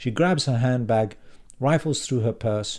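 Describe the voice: Someone does plain reading aloud.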